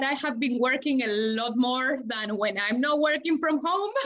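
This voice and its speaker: Her intonation is lively. The woman talks with a Spanish accent. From Argentina. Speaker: chef and food sales manager. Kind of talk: casual chat.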